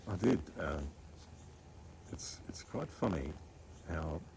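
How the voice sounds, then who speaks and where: A man with an Australian accent speaks very slowly in a very deep, low pitch, his tone dark and mellow with vocal fry, and audible room echo around him. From Australia, Scone NSW. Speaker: cattle farmer. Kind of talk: casual interview chat. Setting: outdoors in a backyard.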